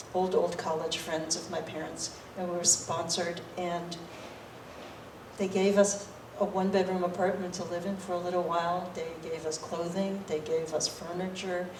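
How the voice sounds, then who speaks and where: A woman with a fairly low pitch talks at a moderate pace in a monotone, flat intonation. Noticeable background noise and audible room echo surround her voice. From Boston, Massachusetts (immigrated from Taiwan as a child). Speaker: state government official. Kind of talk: fireside chat with audience. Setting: library event with live audience. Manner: conversational with frequent fillers and repetitions.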